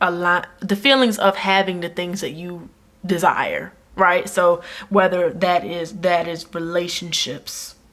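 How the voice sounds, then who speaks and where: At a fairly slow pace, the speaker uses an ordinary speaking voice. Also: woman. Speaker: tarot reader. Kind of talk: tarot reading to camera. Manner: casual, warm.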